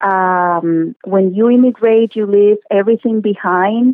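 A woman with a Spanish accent, fairly high in pitch, at a fairly slow pace with fairly even intonation. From Cuba. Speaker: social work graduate. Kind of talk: radio interview.

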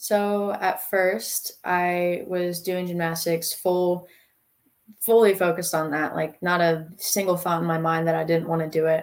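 A woman with an American accent speaks in a fairly low pitch. Her pace is moderate. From North Carolina. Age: young. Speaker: college student and CrossFit athlete. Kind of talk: interview.

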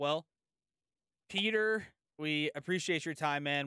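With an American accent and a bright, sharp tone, the voice moves at a fairly quick pace on a very clean recording with a silent background. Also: man, dry, close sound with no echo. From San Diego, California. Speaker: sports podcast host. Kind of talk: casual interview chat.

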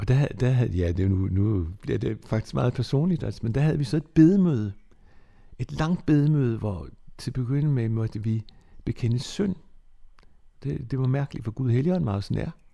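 This man speaks at a moderate pace with a medium pitch, very wide pitch swings, a dark, mellow tone that is somewhat breathy, and long, frequent pauses. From Bornholm (Nexø). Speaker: former church youth secretary and preacher. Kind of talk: life-story interview.

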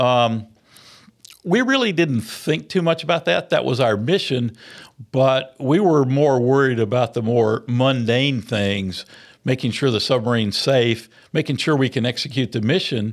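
A man with a Middle Tennessee accent, medium-pitched, at a fairly slow pace with ordinary pitch variation, on a very clean recording with a silent background. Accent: Southern US (Middle Tennessee). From US South, rural Maury County, Tennessee. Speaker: retired navy submarine commander. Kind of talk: interview. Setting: studio. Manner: halting, frequent fillers.

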